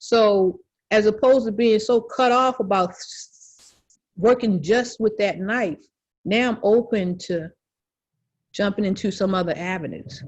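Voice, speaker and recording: Against a quiet background, a woman speaks fairly slowly at a fairly high pitch, somewhat breathy, with ordinary pitch variation. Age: 60s. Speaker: visual artist. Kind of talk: interview. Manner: halting, many repetitions.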